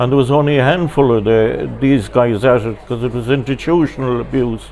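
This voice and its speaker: With an Irish accent, a man talks at a medium pitch and a fairly quick pace, with ordinary pitch variation and noticeable background noise. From Ireland. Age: 70s. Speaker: pilgrim sharing testimony. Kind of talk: testimony interview. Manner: halting.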